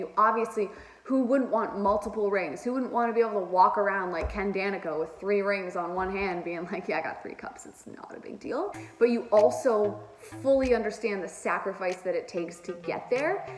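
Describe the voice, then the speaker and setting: An animated tone with lively intonation and big swings in loudness comes at a fairly quick pace, with audible room echo and noticeable background noise. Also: woman. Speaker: hockey commentator. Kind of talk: casual commentary vlog.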